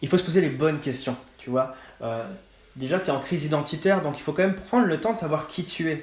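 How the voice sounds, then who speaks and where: Pitched fairly high, a man rattles along at a very fast pace with ordinary pitch variation. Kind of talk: testimony. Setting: podcast interview. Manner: casual, many fillers.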